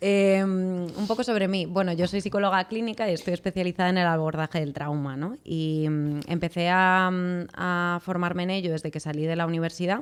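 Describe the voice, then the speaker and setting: A woman talks at a moderate pace with fairly even intonation and a fairly low pitch. The recording is very clean, with a silent background. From Spain, Madrid. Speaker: clinical psychologist. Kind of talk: podcast interview. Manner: hesitant, with many fillers.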